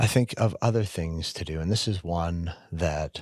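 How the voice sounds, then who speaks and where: A man talks with a very deep, low pitch and ordinary pitch variation, with a slight Canadian accent. The recording is very clean, with a silent background. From Canada. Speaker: podcast co-host. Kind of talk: casual chat.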